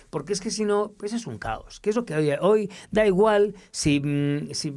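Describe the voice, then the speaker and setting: The man talks at a moderate pace with lively intonation, captured in a very clean recording with a silent background. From Spain (Madrid). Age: 60s. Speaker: reporter. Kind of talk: interview. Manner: animated.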